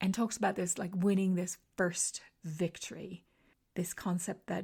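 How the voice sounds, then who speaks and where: A woman's somewhat breathy voice at medium pitch, with a dark, mellow tone and monotone, flat intonation. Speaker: podcast host and confidence coach. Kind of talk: solo podcast monologue. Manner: conversational with fillers.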